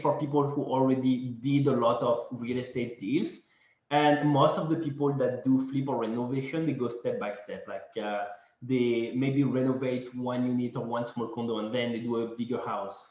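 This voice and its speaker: A medium-pitched male voice with audible room echo. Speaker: real estate investor presenter. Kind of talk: webinar presentation.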